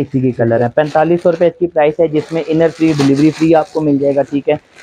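This man's delivery pairs a dark, mellow tone with monotone, flat intonation. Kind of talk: sales product presentation. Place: shop. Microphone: lapel.

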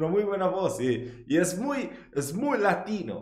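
A voice with a strong Italian accent carries audible room echo over a quiet background. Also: man. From Italy. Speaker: YouTube reaction host. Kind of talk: casual talk to camera, reaction commentary. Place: home room.

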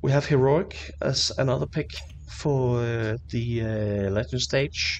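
Very slow male speech at a medium pitch, with very wide pitch swings over music in the background. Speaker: esports news presenter. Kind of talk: esports predictions talk to camera.

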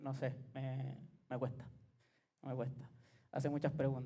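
At a moderate pace, a man speaks in a somewhat breathy voice with a dark, mellow tone. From Chile. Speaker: music producer. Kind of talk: workshop lecture. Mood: relaxed, joking. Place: hall. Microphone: headset.

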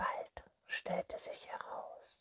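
Over loud background noise, a woman whispers at a very slow pace. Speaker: ASMR reader. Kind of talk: bedtime story reading. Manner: whispered. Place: home room.

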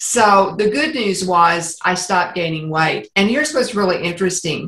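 There is audible room echo as a woman speaks at a moderate pace. Her pitch varies in an ordinary way, and the background is quiet. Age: 70s. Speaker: interview guest. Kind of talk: interview answer. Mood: warm, humorous storytelling. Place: home room. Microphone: video call.

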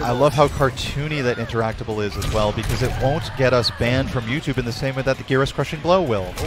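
Over noticeable background noise, a man talks at a very fast pace in an energetic tone, with hardly any pauses, ordinary pitch variation and a dry sound with no echo. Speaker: esports commentator. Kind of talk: live esports match commentary. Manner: analytical, energetic. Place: hall. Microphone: headset.

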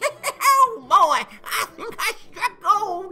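Extremely high-pitched, a put-on character voice. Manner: gruff, folksy.

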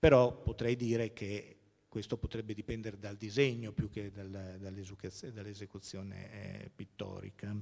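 At a fairly slow pace, a man's fairly low voice holds a fairly even intonation. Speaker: art historian and museum curator; museum curator lecturer. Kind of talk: lecture. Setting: stage with audience. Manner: halting. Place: hall.

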